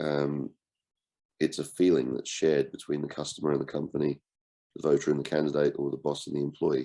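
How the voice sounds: The tone is dark and mellow. A man delivers the words at a moderate pace.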